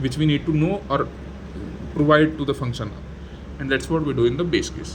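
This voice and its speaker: Someone talks at a fairly quick pace with noticeable background noise behind them. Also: man. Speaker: programming tutor. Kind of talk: tutorial. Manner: halting, many fillers and restarts.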